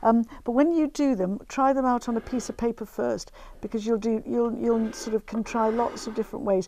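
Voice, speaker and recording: Her voice is fairly high and has a dark, mellow tone, with fairly even intonation. She keeps a moderate pace over light background noise. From northern England, Grimsby; northern England. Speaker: craft TV presenter; TV presenter. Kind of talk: craft demonstration. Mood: warm, chatty, anecdotal. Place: studio. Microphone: lapel.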